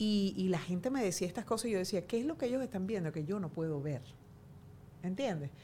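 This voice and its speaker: A woman's medium-pitched, somewhat breathy voice, dark and mellow in tone, with lively intonation and a fairly quick pace. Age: 40s. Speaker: journalist. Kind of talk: casual chat.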